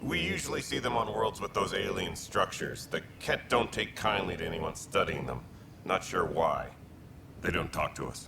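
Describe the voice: In a put-on character voice, a man speaks low with a bright, sharp tone, vocal fry and lively intonation over faint background noise. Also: moderate pace.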